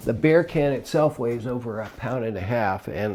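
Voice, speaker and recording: Recorded very cleanly against a silent background, a man with a fairly low pitch speaks at a fairly slow pace with lively intonation. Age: 60s. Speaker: retiree and long-distance hiker. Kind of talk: casual talk to camera. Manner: hesitant, many fillers.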